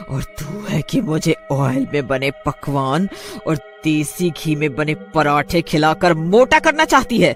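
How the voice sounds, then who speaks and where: A man cackles in a put-on character voice with a fairly high pitch. He goes at a fairly slow pace over clear music in the background. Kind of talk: read story. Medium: cartoon. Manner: threatening, cackling.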